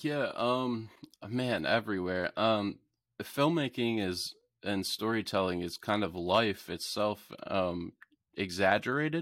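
A man talks at a fairly slow pace with a fairly low pitch, in an ordinary speaking voice. The recording is very clean and the background silent. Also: lively intonation. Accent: American. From south-central Pennsylvania (York). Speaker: filmmaker. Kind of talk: casual interview.

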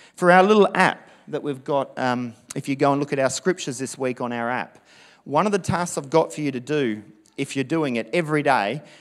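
Heard on a very clean recording with a silent background, a man with a fairly high pitch and lively intonation speaks at a moderate pace. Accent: Australian. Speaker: pastor. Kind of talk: sermon. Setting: church. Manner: animated.

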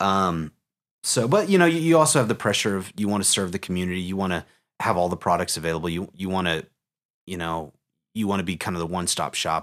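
In an American accent, a man with a very deep, low pitch and ordinary pitch variation talks at a very fast pace in a very clean recording with a silent background. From Oklahoma. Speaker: mortgage executive and entrepreneur. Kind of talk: podcast interview. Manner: hesitant, many fillers.

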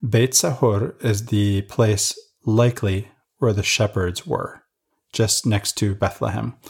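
Very slowly, a man speaks at a fairly low pitch, somewhat breathy, with ordinary pitch variation, on a very clean recording with a silent background. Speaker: podcast co-host discussing scripture. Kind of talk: casual religious study discussion. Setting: studio recording.

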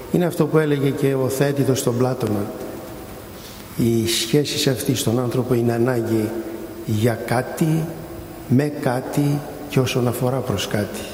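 Amid noticeable background noise and audible room echo, a man at medium pitch talks at a fairly slow pace with long, frequent pauses, very even loudness, and fairly even intonation. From Greece, Santorini. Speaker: intensive care physician and academic. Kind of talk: speech. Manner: unprepared, improvised.

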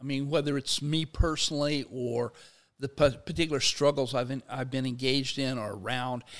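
A man's ordinary speaking voice, medium in pitch, fairly quick in pace, with fairly even intonation. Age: 60s. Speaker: sociology professor and labor activist. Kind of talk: in-depth interview. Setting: studio.

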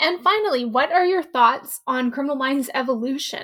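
A woman speaks with a high pitch at a moderate pace. Her intonation is lively. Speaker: podcast co-host interviewer. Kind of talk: casual interview chat.

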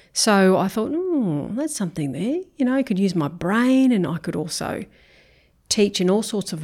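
A woman talks in an Australian accent with lively intonation at a moderate pace. The recording is very clean, and the background is silent. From Brisbane, Australia. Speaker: school principal. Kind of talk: interview.

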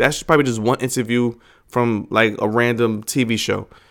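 This is a man speaking at a medium pitch. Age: 40s. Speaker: wrestling podcast host. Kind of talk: casual solo podcast monologue.

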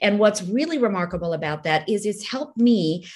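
Somewhat breathy speech comes through in an American accent. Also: woman. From India, raised in the US from age nine. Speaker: novelist. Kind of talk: interview conversation.

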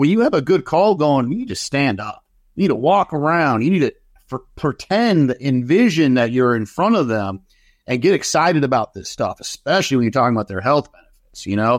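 A man's fairly high voice with very wide pitch swings, in a dry, close sound with no echo. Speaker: sales executive. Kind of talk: casual interview.

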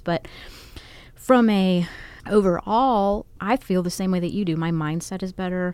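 A woman speaks at a moderate pace and a fairly low pitch. It is a plain, everyday voice. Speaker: podcast co-host. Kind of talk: casual chat.

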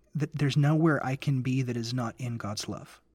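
A man's somewhat breathy voice with an American accent, fairly slow, with fairly even intonation. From US South, Memphis, Tennessee. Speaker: guest co-host on a faith podcast. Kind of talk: casual religious discussion.

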